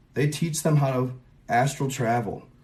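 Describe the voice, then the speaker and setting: A man's fairly high-pitched, somewhat breathy voice at a very slow pace. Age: 30s. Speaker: conspiracy content creator. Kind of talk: casual livestream monologue. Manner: casual, rambling with fillers.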